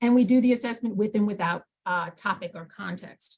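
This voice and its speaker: A woman with an American accent speaks at a moderate pace. Her voice is somewhat breathy, with lively intonation. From New York. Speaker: aural rehabilitation specialist. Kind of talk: presentation to a support group meeting.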